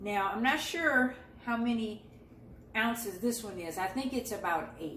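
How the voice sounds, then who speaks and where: A woman with a fairly high pitch speaks slowly, fairly so, with lively intonation. Noticeable background noise and audible room echo fill the recording. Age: 60s. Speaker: lifestyle and beauty vlogger. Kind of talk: casual vlog tutorial while juicing. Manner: conversational.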